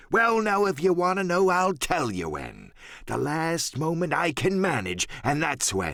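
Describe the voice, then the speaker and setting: Using a put-on character voice, a man speaks in a high pitch at a fairly slow pace. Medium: read story. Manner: boastful, sly.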